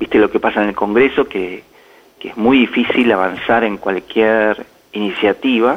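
A man's voice sits at a medium pitch, holding fairly even intonation at a moderate pace. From Argentina. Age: 50s. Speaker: business executive turned government adviser. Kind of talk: radio interview. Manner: halting, with many repetitions and fillers.

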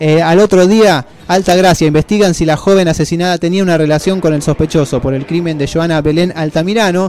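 Speaking fairly quickly, this man keeps his voice at a high pitch. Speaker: radio host. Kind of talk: scripted monologue. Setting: studio.

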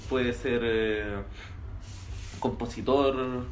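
A man talks at a medium pitch in a Chilean accent, his intonation fairly even. Audible echo fills the room. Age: 20s. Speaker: music producer. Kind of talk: casual chat.

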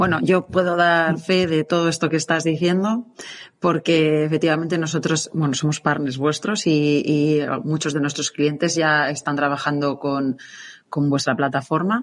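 The voice moves at a fairly slow pace, its loudness very even and its intonation fairly even. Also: woman, very deep, low pitch for a woman. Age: 40s. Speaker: podcast host, marketing agency co-founder. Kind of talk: podcast interview.

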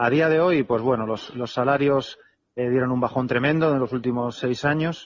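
With an unremarkable speaking voice, a man talks at a moderate pace. His pitch is medium and varies in an ordinary way. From Spain, Alicante. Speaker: retired basketball player. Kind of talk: interview. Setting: phone call.

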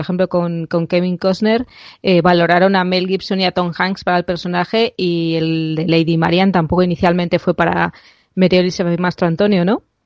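This woman has an unremarkable speaking voice at medium pitch. She talks at a fairly quick pace. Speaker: podcast host. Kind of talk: casual chat. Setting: remote recording.

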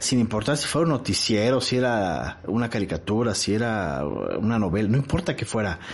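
A man's medium-pitched voice with a Mexican accent at a moderate pace. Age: 40s. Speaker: television professional and podcast host. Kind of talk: solo podcast monologue. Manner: casual, with frequent fillers and repetitions.

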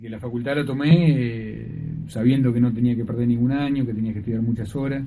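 Music plays in the background as the speaker moves at a fairly quick pace with big swings in loudness. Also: man, medium pitch for a man, fairly even intonation. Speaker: veterinarian and university tutor. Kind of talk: radio interview.

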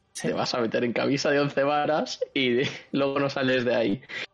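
A man speaks at a moderate pace with fairly even intonation. He has a plain, everyday voice. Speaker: podcast co-host and writer. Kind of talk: casual chat.

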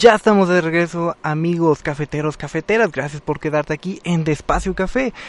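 A man talks at a fairly quick pace with hardly any pauses, his high pitch showing ordinary variation in an animated tone. The sound is dry and close, with no echo. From Mexico, Guerrero. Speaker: radio host. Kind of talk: casual radio talk.

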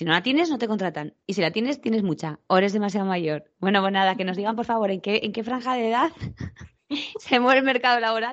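Talking at a very fast pace, a woman uses a fairly high pitch, lively intonation and an animated tone. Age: 40s. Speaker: tourism professional, podcast co-host. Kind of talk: casual chat.

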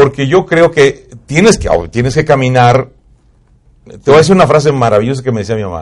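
Man with an ordinary speaking voice, fairly high in pitch, at a fairly quick pace with big swings in loudness. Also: lively intonation. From Mexico, Puebla highlands. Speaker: radio announcer. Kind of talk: casual chat.

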